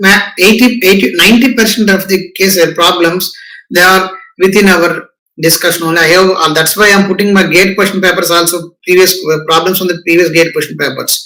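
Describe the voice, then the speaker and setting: Projecting a raised voice, a man with a high pitch speaks at a fairly quick pace with fairly even intonation amid audible room echo. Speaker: professor. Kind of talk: lecture.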